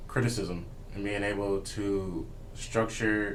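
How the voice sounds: A man's fairly low, fairly evenly intoned voice at a slow pace, with audible room echo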